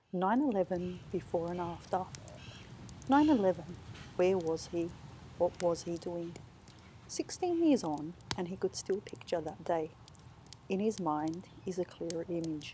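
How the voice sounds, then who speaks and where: In an Australian accent, a woman speaks fairly slowly in a somewhat breathy, dark, mellow tone, her fairly low pitch showing ordinary variation and broken by long, frequent pauses. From Western Sydney, Australia. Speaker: author. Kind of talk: author reading of literary fiction.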